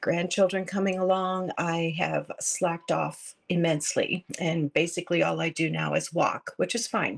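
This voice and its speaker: A moderate pace in a very clean recording with a silent background. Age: 60s. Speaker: listener. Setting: recorded voice message.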